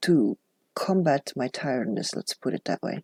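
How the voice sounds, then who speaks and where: The speech is mumbled. The sound is dry and close, with no echo. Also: woman. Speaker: journaling YouTuber. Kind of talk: casual vlog. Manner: mumbling. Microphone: new clip-on microphone, no gain or noise suppression.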